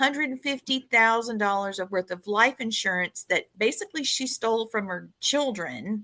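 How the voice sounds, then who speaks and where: A woman with a Southern US accent talks with hardly any pauses at a fairly high pitch, her tone bright and sharp, in a dry, close, very clean recording with a silent background and no echo. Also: ordinary pitch variation, moderate pace. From US South. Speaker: podcast host. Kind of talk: casual chat.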